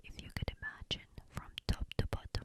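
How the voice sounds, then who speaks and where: Whispering at a fairly slow pace. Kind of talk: ASMR bedtime story reading. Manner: whispered, soft.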